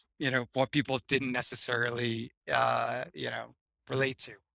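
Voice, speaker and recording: With an American accent and fairly even intonation, the bright, sharp voice sounds dry and close with no echo on a very clean recording over a silent background. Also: man. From Boston, US. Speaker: entrepreneur. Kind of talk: casual interview. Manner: hesitant, many fillers.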